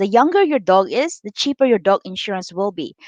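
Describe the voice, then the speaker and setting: A woman talks at a fairly quick pace with very wide pitch swings. The sound is dry and close, with no echo. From Philippines. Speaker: financial coach. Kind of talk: live stream chat. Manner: hesitant, many fillers.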